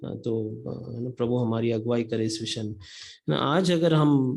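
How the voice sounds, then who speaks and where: A man with a medium pitch talks with a non-native accent. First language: not Hindi (speaking Hindi). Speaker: lay preacher. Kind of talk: sermon. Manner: halting, many fillers.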